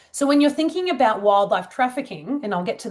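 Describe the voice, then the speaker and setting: Lively intonation marks this woman's speech, delivered with an Australian accent. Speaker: wildlife trafficking researcher. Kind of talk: conference presentation. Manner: casual.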